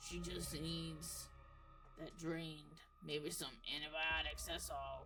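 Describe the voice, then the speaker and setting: A put-on character voice speaks at a fairly slow pace against clear background noise. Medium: solo performance. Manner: drawling, halting.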